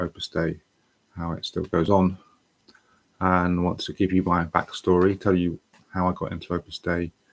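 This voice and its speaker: A man with a British accent and a very deep, low voice is heard in a very clean recording against a silent background. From England. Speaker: online English tutor. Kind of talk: personal testimony livestream. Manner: halting, with many fillers.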